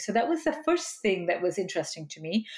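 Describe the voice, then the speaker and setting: The voice is somewhat breathy and moves at a moderate pace. The recording is very clean, with a silent background. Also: woman. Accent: American. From Malaysia, then US. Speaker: psychologist and author. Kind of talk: interview. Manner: hesitant, many fillers.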